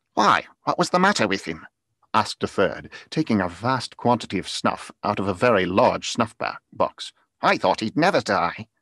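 Over a quiet background with a dry sound and no echo, a man uses a bright, sharp tone, a theatrical, animated manner and very wide pitch swings at a moderate pace. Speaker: audiobook narrator. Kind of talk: dramatic reading aloud of a Victorian novel, performed with character voices; dramatic reading of a story. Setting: video call with live online audience. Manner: theatrical, animated, shifting voice for each character. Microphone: studio mic.

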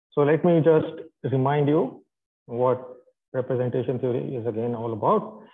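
The man speaks with ordinary pitch variation. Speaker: physics lecturer. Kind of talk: lecture. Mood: light joking. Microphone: video call.

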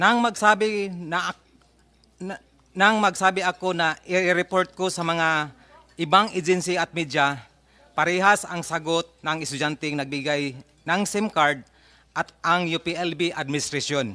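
A bright, sharp tone moves at a fairly slow pace with ordinary pitch variation. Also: man, high pitch for a man. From Mindanao, Agusan del Sur. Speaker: parent of missing student. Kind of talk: testimony at hearing. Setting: senate hearing. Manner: reading prepared statement.

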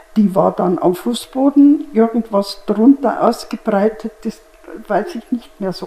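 A woman talks at a very slow pace. Her loudness swings in a big way. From Germany. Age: 80s+. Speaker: contemporary witness. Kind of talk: interview answer. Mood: calm, reminiscing. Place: studio. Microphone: lapel.

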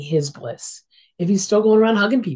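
Her voice is somewhat breathy with ordinary pitch variation, and the woman is heard over a quiet background. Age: 60s. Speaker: social worker and interfaith minister. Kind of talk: casual interview. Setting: video call. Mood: warm, reflective. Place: home room. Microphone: video call.

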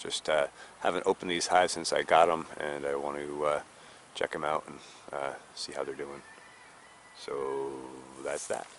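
Light background noise sits behind a man who talks at a moderate pace with long, frequent pauses, in a dry sound with no echo. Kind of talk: casual vlog chat. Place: garden.

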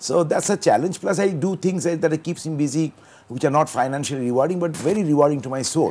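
This man has a fairly high pitch and a dark, mellow tone. His pitch varies in an ordinary way. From Dhaka, Bangladesh; Bangladesh. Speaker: banker; talk show guest. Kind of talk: talk show interview. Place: studio. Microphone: lapel.

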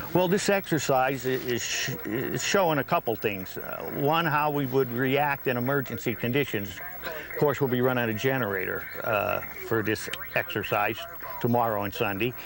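The sound is dry with no echo, with light background noise underneath. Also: man. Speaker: radio club member. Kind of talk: interview answer. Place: tent. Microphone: lapel.

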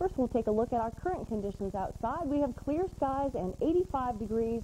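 A woman speaks at a moderate pace with very wide pitch swings. There is light background noise. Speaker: weather forecaster. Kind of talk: TV weather forecast. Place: studio. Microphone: lapel.

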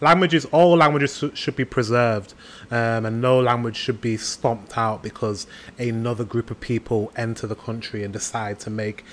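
Speaking with a British accent, a man uses medium pitch, ordinary pitch variation and a moderate pace. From United Kingdom. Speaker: YouTube reactor. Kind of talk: casual reaction commentary. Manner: upbeat. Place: home room.

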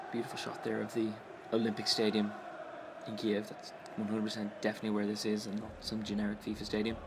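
Through noticeable background noise, a man with a fairly low pitch talks at a very fast pace. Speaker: YouTube sports commentator. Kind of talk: live-style football commentary over game footage, wry and chatty. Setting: voiceover on video game footage. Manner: quick, conversational, dry-humoured, rising to excitement on chances.

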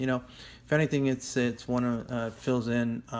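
A man with fairly even intonation. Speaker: comic collector. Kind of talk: casual haul video chat. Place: home room. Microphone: phone near.

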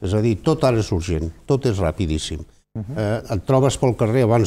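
A man's dark, mellow tone at a moderate pace. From Barcelona, Catalonia. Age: 70s. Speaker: president of seniors' federation; guest. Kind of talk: TV studio discussion. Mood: calm, reflective. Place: studio. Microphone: lapel.

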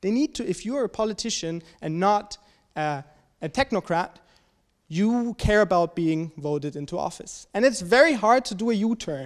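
Over a quiet background, a man with a German accent and a high pitch speaks at a moderate pace. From Germany. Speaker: graduate student discussant. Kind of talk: presentation. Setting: seminar with audience. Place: hall. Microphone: handheld.

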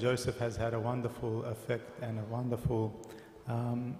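A man's monotone, flat delivery with audible room echo. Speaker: priest introducing the guest speaker. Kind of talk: introduction speech. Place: church.

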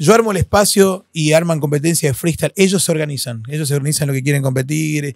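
A man talks at a very fast pace with hardly any pauses, animated in tone with ordinary pitch variation, in a dry sound with no echo and a quiet background. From Argentina, Posadas (Misiones); Misiones, Argentina. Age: 40s. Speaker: freestyle battle host and hip hop ministry leader; podcast guest. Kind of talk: casual interview chat. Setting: recording studio. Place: studio. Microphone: studio mic.

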